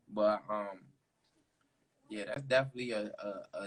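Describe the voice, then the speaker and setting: A man with a strong DC accent talks at a moderate pace. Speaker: interviewer. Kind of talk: casual chat.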